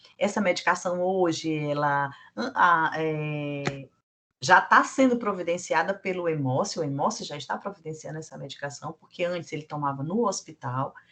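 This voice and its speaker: A woman with a fairly low pitch and a bright, sharp tone speaks at a moderate pace, her intonation lively and her loudness swinging widely. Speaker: blood centre staff trainer. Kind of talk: training lecture.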